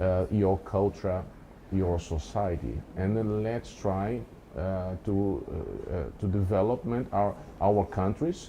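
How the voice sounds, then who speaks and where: A man with a Brazilian accent speaks at a very slow pace and a fairly low pitch. His tone is dark and mellow, with ordinary pitch variation. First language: Portuguese. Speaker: professor. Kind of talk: interview conversation.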